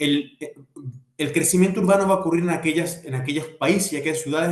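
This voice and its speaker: Somewhat breathy, a man speaks with ordinary pitch variation. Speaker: architect and urban planner. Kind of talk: lecture. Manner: fast.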